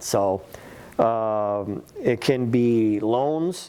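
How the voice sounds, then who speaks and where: A man speaks in an unremarkable speaking voice. His pitch sits at a medium level with ordinary variation. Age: 60s. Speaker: small business workshop presenter. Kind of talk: workshop presentation.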